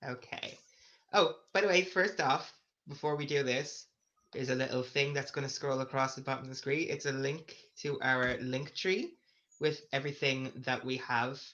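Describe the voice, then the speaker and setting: In an Irish accent, a man speaks at a fairly high pitch and moderate pace. His tone is bright and sharp, with fairly even intonation. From Ireland, County Meath. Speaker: podcast co-host, hotel receptionist. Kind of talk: casual chat.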